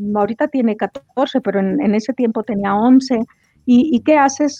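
Dry and close with no echo, a woman talks at a fairly slow pace and a high pitch. Her tone is dark and mellow, her pitch variation ordinary. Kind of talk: personal testimony in interview.

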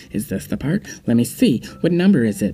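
A woman performs a put-on character voice at a fairly quick pace, her pitch very deep and low with very wide swings. Clear music plays in the background. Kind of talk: poor mocking impression.

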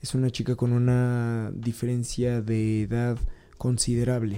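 A man speaks with a Mexican accent. Music plays in the background. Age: 30s. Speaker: podcast host. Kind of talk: personal monologue. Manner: halting, with repetitions.

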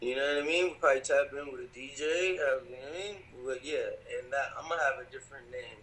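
With an ordinary speaking voice, a man speaks at a fairly high pitch and uses ordinary pitch variation. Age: 30s. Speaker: rapper. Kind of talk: casual chat.

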